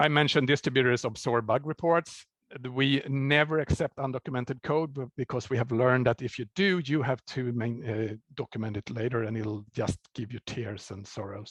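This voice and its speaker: A man in a normal speaking voice at a moderate pace with hardly any pauses and ordinary pitch variation, the sound dry and close with no echo against a quiet background. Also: medium pitch for a man. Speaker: software developer. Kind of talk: conference talk.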